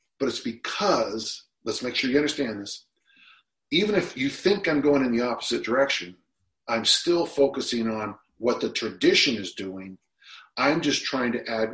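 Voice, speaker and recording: Using an unremarkable speaking voice, a man with an American accent talks at a moderate pace and medium pitch with lively intonation. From US, Utah. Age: 60s. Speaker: strength and conditioning coach. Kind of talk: casual interview.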